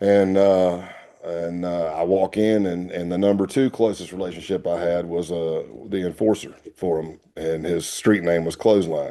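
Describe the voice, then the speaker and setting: At a moderate pace, a man with a Southern accent speaks in a very deep, low pitch with a dark, mellow tone. His intonation is fairly even, and the background is quiet. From US South. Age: 50s. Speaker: retired FBI agent. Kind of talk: interview storytelling.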